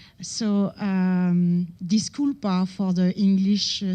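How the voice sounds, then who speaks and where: Somewhat breathy, a woman with a dark, mellow tone talks at medium pitch with fairly even intonation. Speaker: researcher giving conference talk. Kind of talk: conference lecture. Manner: hesitant, many fillers.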